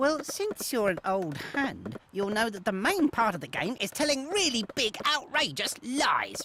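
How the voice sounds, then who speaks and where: A cartoonish character voice sits at a fairly high pitch. It moves at a moderate pace. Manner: cocky.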